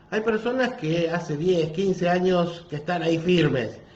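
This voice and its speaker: A moderate pace, with audible room echo and noticeable background noise. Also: man. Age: 60s. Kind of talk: sermon. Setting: parish office, livestream.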